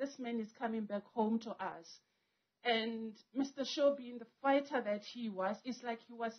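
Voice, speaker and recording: This woman's voice sits at a fairly high pitch. Her intonation is fairly even. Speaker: family member giving tribute. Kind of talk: eulogy speech. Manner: emotional; halting. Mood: emotional, grieving. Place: tent. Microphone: handheld.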